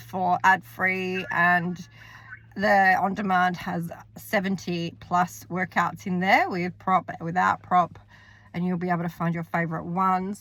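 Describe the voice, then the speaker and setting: A woman with a New Zealand accent talks at a fairly slow pace. Her pitch is medium. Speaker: fitness coach and vlogger. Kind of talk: casual vlog talk. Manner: casual, some hesitations.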